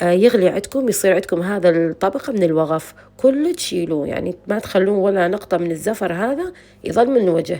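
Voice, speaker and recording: With an Iraqi accent, a woman speaks at a moderate pace, her medium-pitched voice rising and falling with lively intonation. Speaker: cooking channel host. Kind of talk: cooking tutorial. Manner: casual, chatty.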